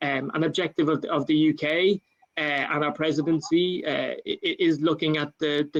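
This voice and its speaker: With an Irish accent, a man speaks at a fairly high pitch in a monotone, flat delivery. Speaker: government climate official. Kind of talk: panel talk. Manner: halting, many fillers.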